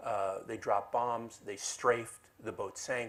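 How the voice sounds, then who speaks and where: In an American accent, the man talks at a middle pitch. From United States. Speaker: lawyer and collector giving a talk. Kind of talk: lecture. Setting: library event with audience. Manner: halting, many fillers.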